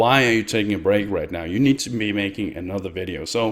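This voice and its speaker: A man with a Danish accent speaks at a fairly quick pace with lively intonation, recorded very cleanly against a silent background. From Denmark. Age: 20s. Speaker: YouTuber and streamer. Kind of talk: personal vlog.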